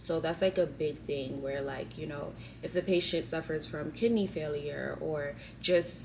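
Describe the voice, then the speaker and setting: With a very deep, low pitch and fairly even intonation, a woman talks at a moderate pace. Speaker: physician assistant student and vlogger. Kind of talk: vlog narration. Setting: library. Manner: talking low; casual, filler-heavy.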